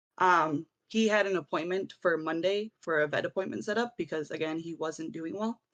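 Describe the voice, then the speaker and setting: A woman with an ordinary speaking voice and a fairly low pitch, with ordinary pitch variation, a moderate pace, hardly any pauses and a dry, close sound with no echo. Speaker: viewer telling a personal story on a stream. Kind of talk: personal story told in casual chat.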